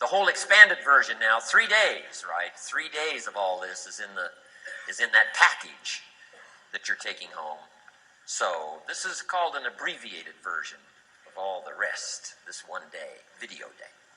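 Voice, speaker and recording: Against noticeable background noise, a man talks at a moderate pace with long, frequent pauses and big swings in loudness. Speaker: motivational speaker. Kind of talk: live seminar talk.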